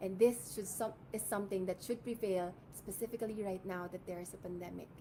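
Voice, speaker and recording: A woman speaks in an ordinary speaking voice at a fairly quick pace and medium pitch. Her intonation is fairly even, while her loudness swings widely. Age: 20s. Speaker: beauty pageant contestant. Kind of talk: pageant introduction speech.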